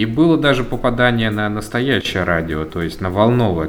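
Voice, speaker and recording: A man's voice with audible room echo. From Volzhsky, Volgograd region, Russia. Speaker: netlabel founder, music curator. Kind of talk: interview. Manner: calm.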